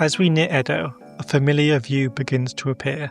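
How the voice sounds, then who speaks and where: Music plays in the background as a man speaks at a moderate pace. His pitch is fairly high and his intonation fairly even. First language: not Japanese. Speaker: history video narrator. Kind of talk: documentary narration.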